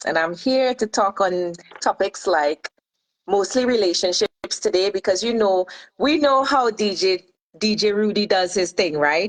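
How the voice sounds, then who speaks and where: With a medium pitch and ordinary variation, a woman speaks at a moderate pace and very even loudness in a dry, close sound with no echo. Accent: Trinidadian. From Trinidad and Tobago. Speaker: life and relationship coach. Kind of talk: radio show interview.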